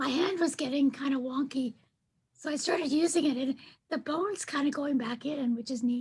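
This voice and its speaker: A woman talks at a fairly quick pace in a breathy, high voice with ordinary pitch variation. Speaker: client recovering from vocal cord paralysis. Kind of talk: casual chat. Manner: sing-song, up and down.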